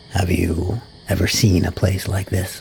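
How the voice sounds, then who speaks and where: Soft-spoken, calm tone over noticeable background noise. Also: man. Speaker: VTuber storyteller. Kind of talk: soft-spoken audiobook reading.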